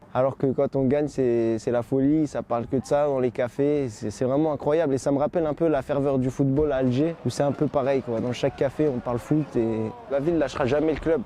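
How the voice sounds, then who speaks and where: Against noticeable background noise, a man with a fairly high pitch talks at a fairly quick pace with hardly any pauses and fairly even intonation. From Paris, France. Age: 20s. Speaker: football ultra supporter. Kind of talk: interview.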